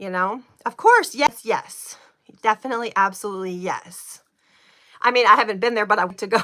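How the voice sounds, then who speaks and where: Her voice is fairly high, bright and sharp in tone, and animated. The woman moves at a fairly quick pace. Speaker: livestreamer doing spiritual oracle card chats. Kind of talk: casual live chat with viewers. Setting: livestream at home by a window. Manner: fast.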